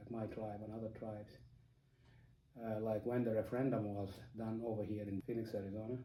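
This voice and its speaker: With a South Sudanese accent, a man talks at a medium pitch in monotone, flat intonation. Noticeable background noise and audible room echo are present. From South Sudan, Dinka. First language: Dinka. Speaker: interviewee. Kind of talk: interview. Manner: halting, many fillers.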